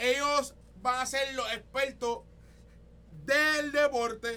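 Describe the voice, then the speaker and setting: Pitched extremely high, a man speaks with ordinary pitch variation. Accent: Puerto Rican. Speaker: podcast host. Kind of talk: casual chat. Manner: animated.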